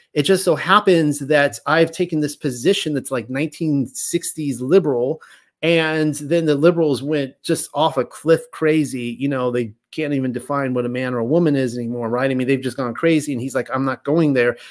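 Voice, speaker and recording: An unremarkable speaking voice with ordinary pitch variation comes through in a very clean recording against a silent background. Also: man, fairly high pitch for a man, moderate pace. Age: 40s. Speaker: livestream host reading and discussing religious texts. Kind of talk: reading aloud with commentary. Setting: YouTube live stream.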